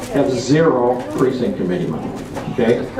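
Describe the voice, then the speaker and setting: Very wide pitch swings from a man at a fairly quick pace, with audible room echo and noticeable background noise. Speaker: political activist. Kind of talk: convention talk.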